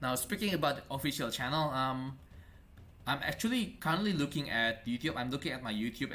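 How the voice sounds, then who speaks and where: A man with a non-native accent has a bright, sharp tone. His intonation is lively. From Indonesia. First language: not English. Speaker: esports caster. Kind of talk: live game commentary. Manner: halting.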